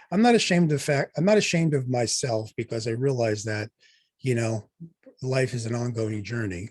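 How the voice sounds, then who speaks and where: A man talking at a fairly quick pace in an ordinary speaking voice. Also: medium pitch for a man, ordinary pitch variation. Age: 60s. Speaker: doctor and podcast host. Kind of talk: casual chat.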